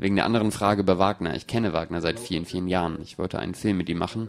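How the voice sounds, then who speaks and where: A man with a very deep, low pitch talks at a very fast pace with ordinary pitch variation. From Brazil. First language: Portuguese (speaking German). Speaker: film director. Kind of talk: audience Q&A, German dub. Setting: stage with audience.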